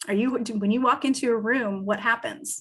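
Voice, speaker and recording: Lively intonation and an ordinary speaking voice at a moderate pace, in a very clean recording with a silent background. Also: woman. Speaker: business advisor. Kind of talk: lecture.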